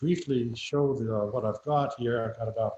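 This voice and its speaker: A somewhat breathy man's voice, dark and mellow in tone, medium in pitch, with ordinary pitch variation. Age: 80s+. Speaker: vintage radio collector. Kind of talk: show-and-tell on video call. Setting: video call from his garage. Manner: halting, many fillers.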